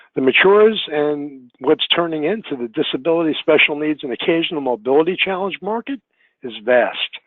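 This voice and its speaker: In a plain, everyday voice, a man talks at a moderate pace with a fairly high pitch and lively intonation. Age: 60s. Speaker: travel industry consultant. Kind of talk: webinar presentation. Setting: online webinar.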